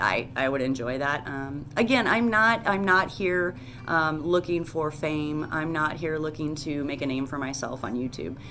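Amid noticeable background noise, a woman with a very deep, low pitch and a bright, sharp tone speaks at a moderate pace with lively intonation and hardly any pauses. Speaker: hiker vlogger. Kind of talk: casual vlog chat. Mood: earnest, a bit nervous. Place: home room. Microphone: phone near.

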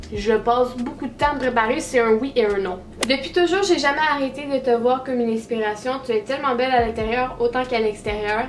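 Over light background noise, a woman talks at a fairly quick pace in a high voice with ordinary pitch variation. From Quebec, Trois-Rivières; Quebec. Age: 18. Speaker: YouTuber. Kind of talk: casual vlog talking to camera. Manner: laughing, animated. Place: home room.

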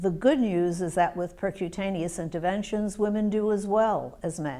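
A woman's dark, mellow tone at a moderate pace, with fairly even intonation. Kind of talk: interview answer. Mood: calm, measured, serious. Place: meeting room. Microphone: lapel.

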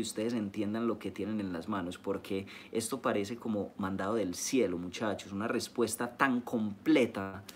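With an animated tone and hardly any pauses, a man with a fairly low voice talks at a moderate pace against light background noise. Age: 20s. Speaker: network marketing leader. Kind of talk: live-streamed training talk. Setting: live stream. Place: home room. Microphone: phone near.

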